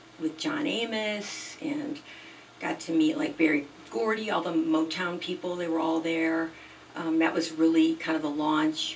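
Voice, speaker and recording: A woman's fairly low pitch and fairly even intonation amid noticeable background noise. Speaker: singer-songwriter. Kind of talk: interview. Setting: podcast studio.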